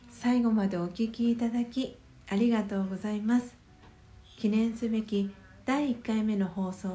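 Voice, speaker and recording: This woman's voice sits fairly high in pitch and is somewhat breathy. She keeps a moderate pace with fairly even intonation. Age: 30s. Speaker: podcast host and meditation guide. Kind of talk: guided meditation; solo morning radio talk. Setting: home.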